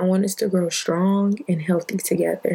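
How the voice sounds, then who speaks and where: A woman's somewhat breathy voice with an American accent, medium in pitch, dark and mellow in tone, with fairly even intonation. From Detroit, Michigan. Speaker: podcast host. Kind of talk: casual monologue.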